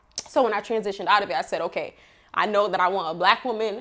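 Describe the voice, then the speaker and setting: A woman's voice at a medium pitch. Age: 30s. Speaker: entrepreneur and mother. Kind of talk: podcast interview.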